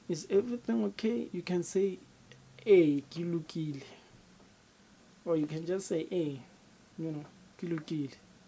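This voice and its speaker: Speaking with a South African accent, a woman has a dark, mellow tone, a fairly low pitch, and a fairly slow pace. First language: Sepedi. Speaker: language teacher. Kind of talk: tutorial. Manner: repetitive, slow for learners.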